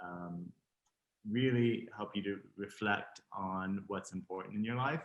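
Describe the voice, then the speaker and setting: Fairly slow and fairly low, a man speaks. His intonation is fairly even. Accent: Texan. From Texas. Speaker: fashion designer. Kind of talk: interview.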